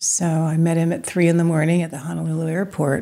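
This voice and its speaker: At a moderate pace, a woman speaks in a very deep, low voice with a dark, mellow tone. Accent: American. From US Midwest. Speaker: painter. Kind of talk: interview. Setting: studio. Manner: halting.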